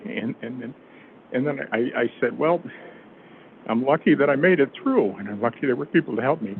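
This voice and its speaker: A man of medium pitch at a fairly quick pace, with lively intonation, big swings in loudness and long, frequent pauses over noticeable background noise. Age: 70s. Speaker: cardiac arrest survivor. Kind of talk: testimony. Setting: city council meeting. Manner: halting.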